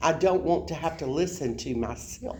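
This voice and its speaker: Over audible room echo, a woman in a South Alabama accent speaks at a moderate pace with lively intonation. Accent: Southern US, South Alabama dialect. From US South, South Alabama. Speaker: college education instructor. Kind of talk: lecture. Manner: conversational, informal.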